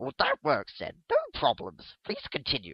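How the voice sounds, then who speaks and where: A man performs a put-on character voice. He speaks at a moderate pace. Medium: read story. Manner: courteous, soothing.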